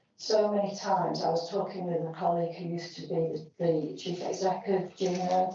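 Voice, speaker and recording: With vocal fry and a dark, mellow tone, a woman speaks at a moderate pace in a monotone, flat intonation, with audible room echo. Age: 60s. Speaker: health advocacy representative on a council board. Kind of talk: committee meeting contribution. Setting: council meeting, live-streamed.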